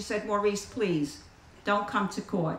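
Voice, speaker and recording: With noticeable background noise, a woman speaks at a moderate pace in an American accent, her tone animated and warm. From the Bronx, New York City. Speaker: AA circuit speaker. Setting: outdoor picnic with live audience. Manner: animated, wry and warm storyteller with comic timing, pausing for laughs.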